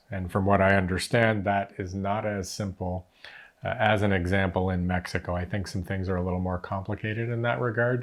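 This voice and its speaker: With a Canadian accent and a plain, everyday voice, a man talks at a fairly quick pace, his fairly low pitch carried in fairly even intonation. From Canada. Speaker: retirement vlogger. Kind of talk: casual chat.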